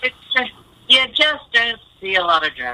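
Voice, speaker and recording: Very wide pitch swings from a woman, with noticeable noise in the background. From USA. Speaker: radio personality. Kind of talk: radio interview.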